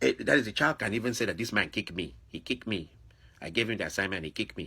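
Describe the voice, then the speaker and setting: A man with an African accent talks at a very fast pace in a fairly low pitch. His tone is bright and sharp, and his intonation is lively. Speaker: video blogger. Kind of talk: monologue commentary. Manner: animated.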